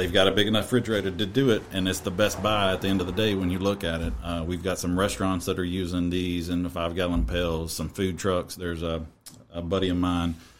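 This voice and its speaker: With a Kentucky accent, a man speaks very fast in a very deep, low pitch and fairly even intonation. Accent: Kentucky Southern. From Kentucky, near Bowling Green. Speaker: barbecue cook and healthcare worker. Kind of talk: casual chat.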